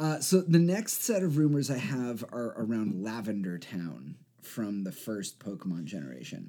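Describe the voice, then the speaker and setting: Talking at a moderate pace, a man with a dark, mellow tone and medium pitch swings very widely in pitch and shows big swings in loudness. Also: hardly any pauses. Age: 30s. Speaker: podcast co-host. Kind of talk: casual chat.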